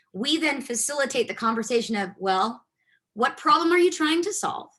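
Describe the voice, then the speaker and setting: Projecting her voice, a woman speaks at a high pitch with lively intonation and a bright, sharp tone. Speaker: technology consultant, guest speaker. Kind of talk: guest lecture in a class. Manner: fast.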